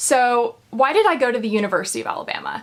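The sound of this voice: A woman speaks at a fast pace, her pitch fairly high. Her voice makes big swings up and down.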